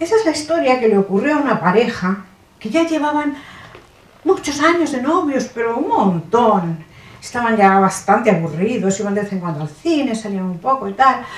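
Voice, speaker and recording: Amid noticeable background noise, a woman with fairly high pitch talks at a moderate pace with very wide pitch swings. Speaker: actress. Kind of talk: comic stage monologue. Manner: satirical, humorous.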